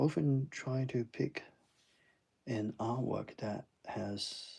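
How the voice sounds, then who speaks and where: Quiet and somewhat breathy, a man speaks with a dark, mellow tone. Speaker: artist streaming a drawing session. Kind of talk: live-stream drawing commentary. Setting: home at night, others asleep. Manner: quiet, low-key; hesitant, many fillers.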